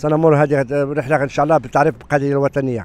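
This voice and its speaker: The sound is dry with no echo. A man speaks at a fairly high pitch. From Morocco. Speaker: convoy organizer, activist. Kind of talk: street interview. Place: street. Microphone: handheld.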